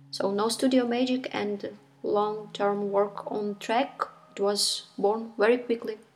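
A woman with a Ukrainian accent, fairly slow and fairly even in intonation, over noticeable background noise. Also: fairly high pitch for a woman. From Ukraine. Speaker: musician. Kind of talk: recorded statement.

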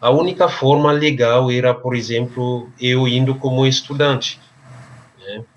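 A man with a slight Cameroonian accent speaks at a very slow pace, his medium-pitched voice keeping a fairly even intonation. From Cameroon, French-speaking region. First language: French (speaking Portuguese). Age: 30s. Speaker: English and French teacher. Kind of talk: interview. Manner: hesitant, filler-heavy.

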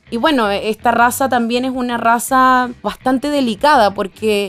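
Noticeable background noise sits under a woman's voice. She has a Venezuelan accent, a fairly high pitch and fairly even intonation. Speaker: dog owner telling her story. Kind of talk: interview, personal story.

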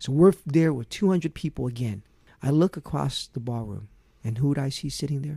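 Fairly high-pitched for a man, his dark, mellow, somewhat breathy voice moves at a fairly quick pace with ordinary pitch variation, in a dry, close sound with no echo on a very clean recording with a silent background. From Vietnam, raised in US. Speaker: prosecutor, political candidate. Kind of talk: interview.

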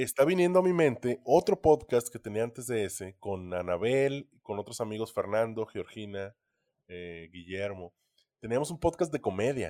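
Recorded very cleanly with a silent background and a dry, close sound with no echo, the dark, mellow voice moves at a moderate pace with very wide pitch swings and big swings in loudness. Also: man, medium pitch for a man. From Ciudad Obregón, Sonora, Mexico. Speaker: podcast co-host. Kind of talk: casual chat.

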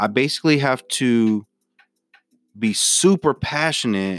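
The sound is dry and close with no echo as a man, with music in the background, speaks with ordinary pitch variation. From Memphis, Tennessee. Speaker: podcast host, sports commentator. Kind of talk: casual solo sports talk.

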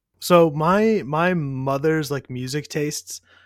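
A man speaks in a plain, everyday voice at a fairly high pitch and fairly slow pace. His pitch varies an ordinary amount, and the sound is dry and close with no echo. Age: 30s. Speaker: podcast co-host. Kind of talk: casual chat. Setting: remote recording.

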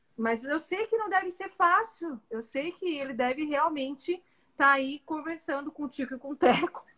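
A woman's raised, projected voice, high-pitched, at a moderate pace with lively intonation. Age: 40s. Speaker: physician. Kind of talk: casual chat.

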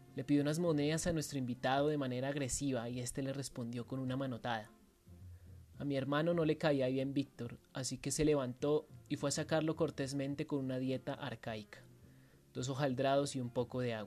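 The speaking pace is fairly quick. Background music can be heard. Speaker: writing workshop instructor. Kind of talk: dramatic first-person narration of a short story, read aloud with a guide intro. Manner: vivid, theatrical storytelling, tense and menacing.

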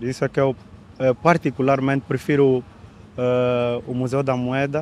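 Medium-pitched male speech at a fairly slow pace, monotone and flat, over noticeable background noise. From Angola, Luanda. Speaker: photographer. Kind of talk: casual interview.

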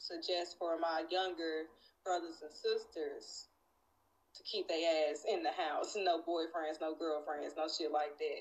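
A woman with a Southern US accent at a fairly slow pace. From Nashville, Tennessee. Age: 30s. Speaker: guest. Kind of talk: casual chat.

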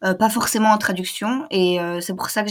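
A somewhat breathy woman's voice with fairly even intonation, on a very clean recording with a silent background. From Belgium. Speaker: language student, travel guest. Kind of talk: casual interview.

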